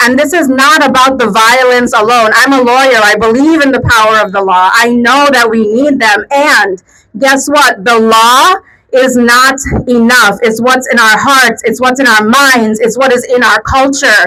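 Against noticeable background noise, a woman speaks in a high pitch with very even loudness and fairly even intonation. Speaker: rally speaker, domestic violence advocate. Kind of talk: rally speech. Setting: outdoor protest rally with crowd. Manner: emotional, earnest, impassioned; fluent, direct appeal to crowd.

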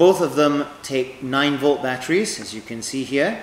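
Speech comes at a fairly slow pace with audible room echo and light background noise. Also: man. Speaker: equipment trainer. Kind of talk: tutorial. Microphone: lapel.

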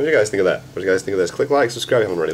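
Faint background noise under a man talking. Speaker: reaction video host. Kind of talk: casual vlog chat. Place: home room. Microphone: webcam.

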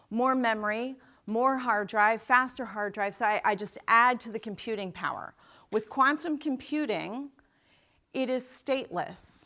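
A woman speaks in a high voice with ordinary pitch variation and a fairly slow pace. The background is quiet. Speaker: keynote speaker. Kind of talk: keynote speech. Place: stage. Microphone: lapel.

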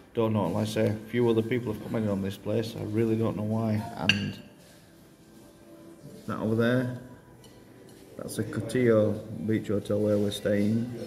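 Over noticeable background noise, a man speaks in a monotone, flat way with long, frequent pauses. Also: fairly low pitch for a man, moderate pace. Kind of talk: casual vlog chat. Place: cafe. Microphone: phone near.

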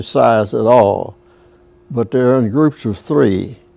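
At a very slow pace, a man with a Southern US accent speaks at a medium pitch with lively intonation. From US South. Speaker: World War II veteran. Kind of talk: interview. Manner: halting. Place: studio. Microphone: lapel.

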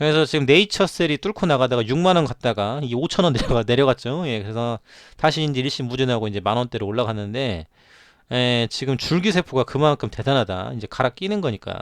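A man's medium-pitched voice with lively intonation and a fairly quick pace, dry and close with no echo. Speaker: stock market commentator. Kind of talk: market news commentary. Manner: filler-heavy, frequent 'ye' interjections; animated, laughing.

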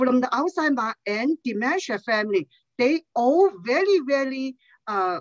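Over a quiet background, a woman speaks very slowly at a high pitch with lively intonation. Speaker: nonprofit outreach director. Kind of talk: public testimony. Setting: video call. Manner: halting, many fillers. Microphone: headset.

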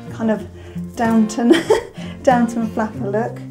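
At a fairly slow pace, a woman talks over clear background music. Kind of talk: product demonstration to camera. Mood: friendly, light. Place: studio.

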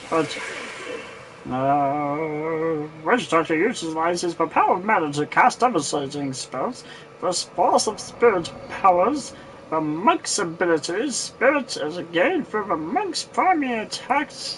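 In a put-on character voice, the speaker goes at a fairly slow pace with lively intonation over clear background noise. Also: man, high pitch for a man. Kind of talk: comic overacting. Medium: game stream. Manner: theatrical, boastful.

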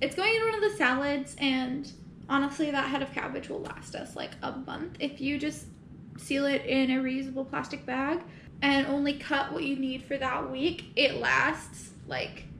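A woman talks with a high pitch and ordinary pitch variation. There is audible room echo and light background noise. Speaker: home cook vlogger. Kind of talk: casual vlog chat. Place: kitchen. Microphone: camera far.

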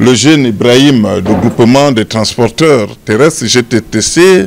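A man's medium-pitched voice with vocal fry, lively intonation and a fairly slow pace

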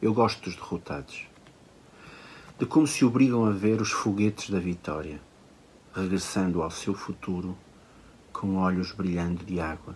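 Very deep and low, a man's voice moves at a moderate pace with ordinary pitch variation and long, frequent pauses over light background noise. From Portugal. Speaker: poet. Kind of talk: poetry reading. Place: home room. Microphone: phone near.

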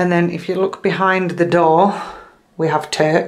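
In a room with audible echo, a woman speaks at a fairly slow pace and fairly low pitch, her intonation fairly even.

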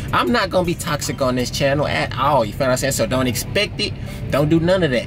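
Over music in the background, a man talks at a fairly quick pace with ordinary pitch variation. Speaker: truck driver vlogger. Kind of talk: casual vlog chat. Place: car. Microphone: phone near.

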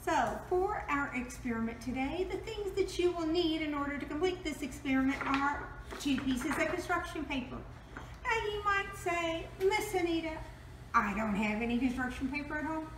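A woman talks in a high pitch. Light background noise and audible room echo come through. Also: moderate pace. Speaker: presenter. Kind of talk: tutorial. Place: kitchen. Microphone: camera far.

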